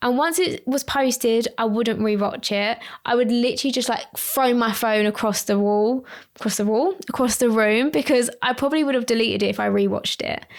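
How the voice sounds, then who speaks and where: A woman with an Essex accent speaks high and fairly quickly, with ordinary pitch variation. Her loudness stays very even on a very clean recording with a silent background. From Essex, England. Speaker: lash artist and trainer, podcast host. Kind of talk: solo podcast talk. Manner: casual, tangential.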